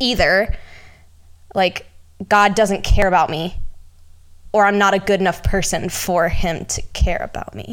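On a very clean recording with a silent background, a woman speaks at a medium pitch and a fairly slow pace in a monotone, flat intonation. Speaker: podcast host. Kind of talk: casual chat.

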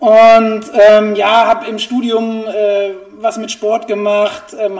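A man speaks in a high voice. Noticeable background noise runs underneath. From Germany, Essen (Ruhr area). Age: 40s. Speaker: running shoe expert. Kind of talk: interview.

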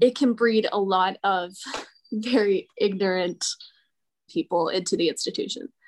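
This voice has an American accent. Its pitch variation is ordinary. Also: woman. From New Jersey, Morristown. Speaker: architecture student. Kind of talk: interview. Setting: video call.

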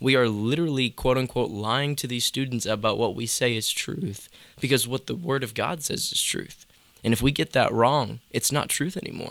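Using an ordinary speaking voice, a man keeps to a medium pitch and a moderate pace, and his pitch moves in an ordinary way. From North Carolina (between Charlotte and Greensboro). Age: 20s. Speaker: youth ministry student. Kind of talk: casual chat.

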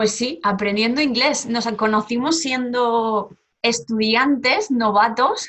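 A woman's fairly high voice at a very slow pace. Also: ordinary pitch variation. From Spain, Barcelona. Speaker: Spanish teacher. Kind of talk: casual interview.

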